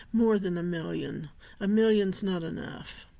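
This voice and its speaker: On a very clean recording with a silent background, a woman at a medium pitch speaks at a fairly slow pace. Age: 60s. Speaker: author and vlogger. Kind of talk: personal vlog monologue.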